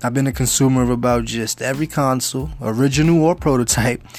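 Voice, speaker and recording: Speaking fairly quickly with a New York accent, a man shows ordinary pitch variation. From New York City (Bronx). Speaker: gaming youtuber. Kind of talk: channel intro monologue.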